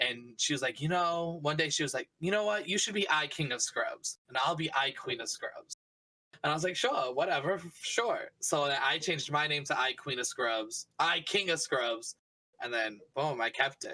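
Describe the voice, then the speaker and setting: With a Boston accent, a man talks at a moderate pace in a fairly high pitch, his tone bright and sharp and his pitch variation ordinary. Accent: Boston-area. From Massachusetts, near Boston (Taunton). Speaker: streamer. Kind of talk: podcast interview. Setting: live-streamed podcast.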